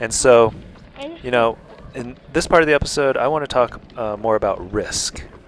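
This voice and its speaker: Over noticeable background noise, a man speaks calmly at a moderate pace, his medium-pitched voice showing ordinary pitch variation. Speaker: YouTuber. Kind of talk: vlog narration.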